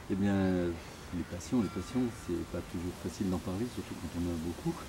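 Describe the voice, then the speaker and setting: A somewhat breathy voice with a dark, mellow tone moves at a moderate pace with fairly even intonation. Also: man, very deep, low pitch for a man. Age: 60s. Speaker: doctor. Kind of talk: interview. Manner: hesitant, many fillers.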